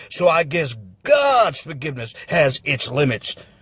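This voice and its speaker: A man is speaking. His voice sounds dry and close, with no echo. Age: 60s. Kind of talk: political rant to camera.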